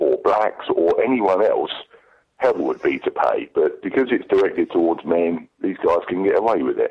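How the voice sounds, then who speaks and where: A man with an English accent, at a fairly slow pace. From England. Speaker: listener caller. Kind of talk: voicemail message. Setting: phone call.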